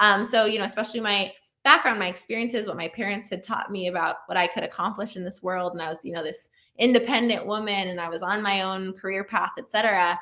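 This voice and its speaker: A woman's very fast speech, bright and sharp in tone, with fairly even intonation and big swings in loudness, on a very clean recording with a silent background. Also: medium pitch for a woman. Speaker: keynote speaker, sociologist. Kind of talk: keynote talk.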